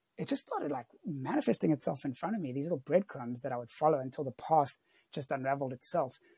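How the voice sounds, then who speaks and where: Against a quiet background, a man speaks with ordinary pitch variation in a dark, mellow tone, the sound dry with no echo. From South Africa. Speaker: mental health worker; podcast guest. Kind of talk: podcast interview answer. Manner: casual. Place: home room. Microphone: earbuds.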